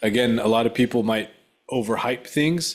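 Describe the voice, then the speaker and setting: A man with an unremarkable speaking voice talks at a moderate pace with ordinary pitch variation in a very clean recording with a silent background. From Mexican-American. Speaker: podcast host, exercise physiologist. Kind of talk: interview.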